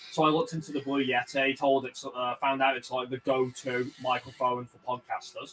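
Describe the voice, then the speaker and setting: A man with a strong Birmingham accent speaks at medium pitch and a moderate pace, monotone and flat, with hardly any pauses. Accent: strong Birmingham (Brummie). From Birmingham, England (West Midlands). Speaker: streamer. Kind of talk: casual chat. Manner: halting.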